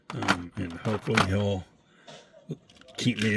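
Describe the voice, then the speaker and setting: A man speaks in a relaxed tone with ordinary pitch variation over noticeable background noise. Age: 60s. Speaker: diecast car collector YouTuber. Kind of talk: casual vlog. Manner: casual, relaxed.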